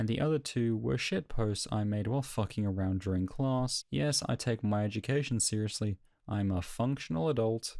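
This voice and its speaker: The speaker has an Australian accent. The tone is dark and mellow. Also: man. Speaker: YouTuber and sound designer. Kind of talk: casual update talk. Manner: some stumbles and repeats.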